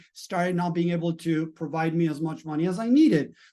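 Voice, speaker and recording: At a moderate pace, a man with a Spanish accent speaks in a high pitch, his tone dark and mellow and his intonation fairly even. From Latin America. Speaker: mindset and business coach. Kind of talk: motivational talk.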